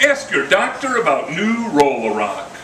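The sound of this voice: A man talks at a fairly slow pace in a fairly high, fairly bright voice. His pitch swings very widely, and audible room echo surrounds him.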